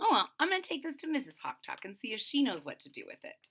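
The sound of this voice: Using a put-on character voice, a woman speaks fast and high, her bright, sharp tone carrying a slightly husky edge as her pitch makes very wide swings.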